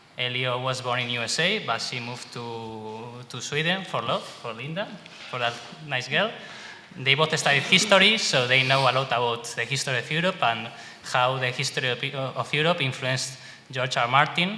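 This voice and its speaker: A man at medium pitch with a Spanish accent, ordinary pitch variation and a moderate pace, over noticeable background noise. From Spain. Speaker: fan website administrator and panel moderator. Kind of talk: panel discussion moderation. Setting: convention panel with audience. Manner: halting.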